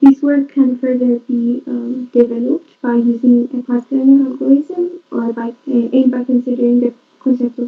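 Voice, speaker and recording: A woman's high pitch and monotone, flat intonation over music in the background. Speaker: conference presenter. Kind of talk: conference presentation. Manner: soft-spoken; halting.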